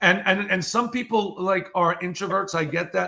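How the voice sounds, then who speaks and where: A man talks at a moderate pace with a high voice. His tone is bright and sharp. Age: 60s. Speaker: keynote speaker and author. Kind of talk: casual interview chat. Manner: energetic, animated.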